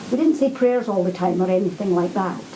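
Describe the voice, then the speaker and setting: A woman's medium-pitched voice with a Scottish accent and ordinary pitch variation, heard with audible room echo and noticeable background noise. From Scotland, Glasgow. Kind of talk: answering pupils' questions in a school. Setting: school classroom.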